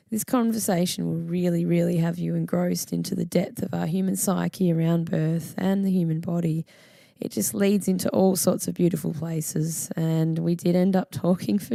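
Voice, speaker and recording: The speaker talks at a moderate pace with an Australian accent. The tone is dark and mellow. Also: woman. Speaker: podcast host. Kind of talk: podcast intro and interview.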